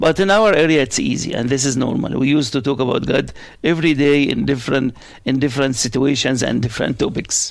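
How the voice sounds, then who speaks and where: A man's fairly high-pitched voice with vocal fry, ordinary pitch variation and an Arabic accent. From Middle East, Arabic-speaking. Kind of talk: interview. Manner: loud; fast.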